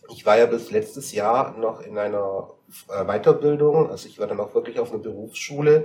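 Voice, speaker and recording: A man talks at a moderate pace, his loudness swinging widely, while noticeable background noise carries on behind him. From Bavarian Swabia, Dillingen district. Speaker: guest. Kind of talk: casual chat. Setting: studio.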